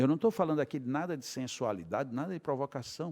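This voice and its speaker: The speech moves at a fairly quick pace in a very clean recording with a silent background and a dry, close sound with no echo. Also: man. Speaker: spiritist lecturer. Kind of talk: lecture. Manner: animated.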